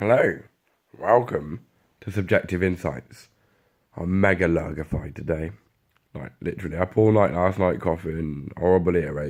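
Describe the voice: In a put-on character voice, the speaker sounds gravelly, husky and raspy, with ordinary pitch variation. The pace is moderate, with long, frequent pauses. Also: man, very deep, low pitch for a man.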